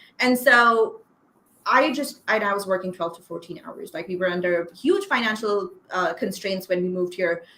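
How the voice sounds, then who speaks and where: A woman's bright, sharp, medium-pitched voice in a Pakistani accent, with ordinary pitch variation at a moderate pace. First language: Urdu. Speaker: copywriter. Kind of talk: interview.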